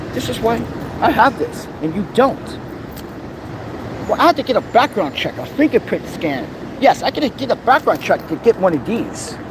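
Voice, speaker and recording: This man's voice sits extremely high and swings very widely in pitch, with an animated tone at a moderate pace. Long, frequent pauses break it up, and noticeable background noise runs underneath. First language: not English. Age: 40s. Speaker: vlogger. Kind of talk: angry rant. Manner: loud.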